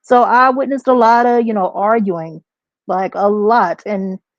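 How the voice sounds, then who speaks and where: The woman speaks at a moderate pace. The sound is dry and close, with no echo. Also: quiet background. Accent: Texas. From Texas. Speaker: substitute teacher and memoir author. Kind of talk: podcast interview.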